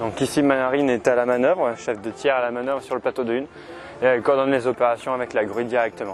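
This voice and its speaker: Music plays in the background as a man talks at a fairly quick pace with medium pitch. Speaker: sailor filming ship restoration work. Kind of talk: on-site commentary. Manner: soft-spoken.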